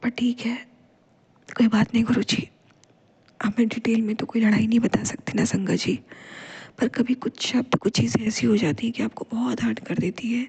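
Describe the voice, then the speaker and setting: At a moderate pace, a woman with a fairly high pitch speaks in a monotone, flat intonation with long, frequent pauses. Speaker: devotional vlogger. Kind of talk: devotional testimony.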